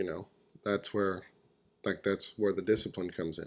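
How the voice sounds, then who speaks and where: A fairly quick, flat, monotone delivery with an American accent, in a very clean recording over a silent background. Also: man. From California. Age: 20s. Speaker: professional rodeo roper. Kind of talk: casual interview chat.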